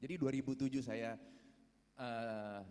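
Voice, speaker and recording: This man speaks at a medium pitch and a fairly slow pace. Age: 50s. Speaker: prison inmate. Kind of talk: testimony. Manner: halting.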